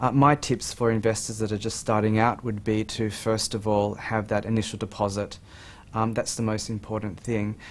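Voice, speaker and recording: A man with an Australian accent speaks in a fairly low pitch. His intonation stays monotone and flat. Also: moderate pace. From Australia, Sydney. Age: 40s. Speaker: amateur property investor. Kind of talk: TV interview.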